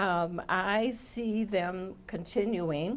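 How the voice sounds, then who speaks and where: With an Upper Midwest accent, a woman speaks at a fairly low pitch with ordinary pitch variation. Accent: Upper Midwest American. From Milwaukee, Wisconsin. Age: 70s. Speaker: commission applicant. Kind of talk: job interview. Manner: formal.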